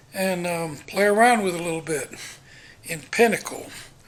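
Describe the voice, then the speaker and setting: A man with a high pitch and ordinary pitch variation talks through noticeable background noise. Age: 60s. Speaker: vlogger. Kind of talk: casual monologue. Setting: walking around home.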